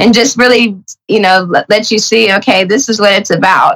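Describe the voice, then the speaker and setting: Vocal fry runs through this woman's voice. She talks at a moderate speed. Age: 40s. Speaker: former reality TV contestant. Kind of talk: casual interview.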